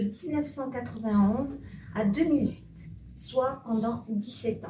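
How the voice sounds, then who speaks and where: A woman speaks at a high pitch and a fairly slow pace. Her tone is dark and mellow, with lively intonation. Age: 60s. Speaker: municipal election candidate. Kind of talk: candidate self-introduction speech.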